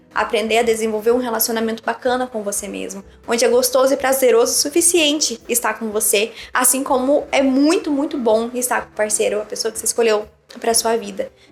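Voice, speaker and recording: Noticeable background noise beneath speech with ordinary pitch variation. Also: woman. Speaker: psychologist and relationship coach. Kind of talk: casual chat. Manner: fast; animated.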